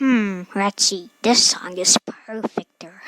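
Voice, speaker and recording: A woman's cartoonish character voice at a medium pitch, very slow, with a dry, close sound and no echo. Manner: sarcastic, casual.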